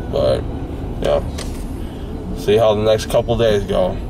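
There is noticeable noise in the background. Over it, a man talks. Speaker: vlogger. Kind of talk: casual vlog chat. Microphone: phone near.

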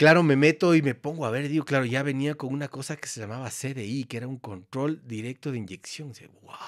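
Against a quiet background, a man talks at a fairly quick pace with hardly any pauses, big swings in loudness and ordinary pitch variation. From Ecuador. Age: 50s. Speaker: photographer and former motorcycle racer; podcast guest. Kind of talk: casual chat; interview answer. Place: studio. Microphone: studio mic.

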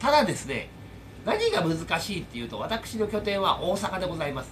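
Noticeable background noise runs behind a high-pitched man speaking at a moderate pace. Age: 40s. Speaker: YouTuber and air-conditioner installation tradesman; YouTuber. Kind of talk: casual vlog monologue. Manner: rambling with many fillers. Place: home room. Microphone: phone near.

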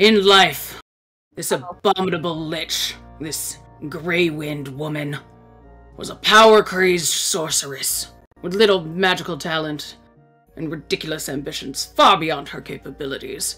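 With faint music in the background, a put-on character voice speaks at a moderate pace and a middle pitch. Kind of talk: long-winded storytelling speech. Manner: pompous, condescending, self-important.

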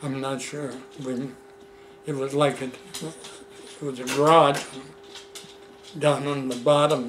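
With an American accent, a man speaks at a very slow pace with fairly even intonation and big swings in loudness over light background noise. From Seattle, US Pacific Northwest. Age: 80s+. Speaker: elderly man recounting his life. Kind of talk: casual family interview. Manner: halting. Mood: relaxed reminiscing. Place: home room. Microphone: camera far.

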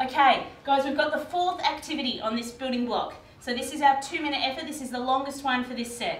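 An upbeat woman's voice, high-pitched and fairly quick, with ordinary pitch variation, hardly any pauses, light background noise and audible room echo. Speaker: fitness instructor. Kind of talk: guided workout class, instructing exercises with cues and countdowns. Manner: brisk, upbeat, encouraging; clear, directive, rhythmic counting. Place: garage. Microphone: camera far.

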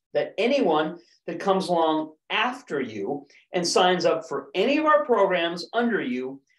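High-pitched male speech at a fairly slow pace, with audible room echo and a quiet background. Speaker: presenter. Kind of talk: sales presentation. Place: office.

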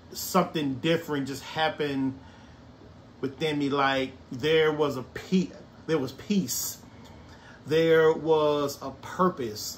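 A man with an American accent speaks very slowly, his voice fairly high. Long pauses come often, over light background noise. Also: ordinary pitch variation. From Brookhaven, Mississippi. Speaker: artist and former sous chef. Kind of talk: personal life story told to camera. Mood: reflective, earnest. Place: home room.

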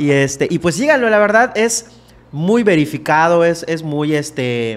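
Using lively intonation, a man talks at a fairly slow pace. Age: 30s. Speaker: podcast host. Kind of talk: casual chat. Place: studio. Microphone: studio mic.

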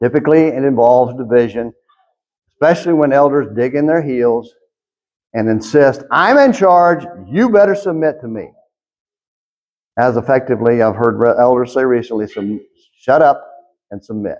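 Over a quiet background, a man talks at medium pitch and a moderate pace. His pitch varies in an ordinary way, and he leaves long, frequent pauses. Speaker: church preacher. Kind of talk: sermon delivered to a congregation. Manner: conversational, preacher style. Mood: earnest, critical. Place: church. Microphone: podium.

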